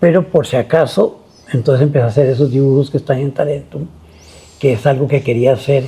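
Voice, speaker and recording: The dark, mellow voice is somewhat breathy, keeping fairly even intonation at a fairly quick pace. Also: man, fairly high pitch for a man. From Costa Rica. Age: 80s+. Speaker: visual artist. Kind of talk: interview. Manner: halting.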